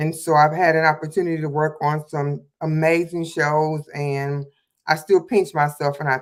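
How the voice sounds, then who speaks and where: A woman's very deep, low pitch in monotone, flat intonation at a moderate pace. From Detroit, Michigan. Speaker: hairstylist and makeup artist, mentor. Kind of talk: casual livestream chat.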